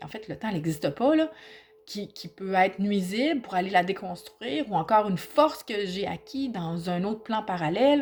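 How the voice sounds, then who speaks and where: A woman in a Quebec accent, medium in pitch, with lively intonation, big swings in loudness and a moderate pace. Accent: Québécois French. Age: 50s. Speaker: aspiring hypnotherapist and personal growth vlogger. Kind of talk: personal reflective vlog. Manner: halting, with repetitions; spontaneous, informal.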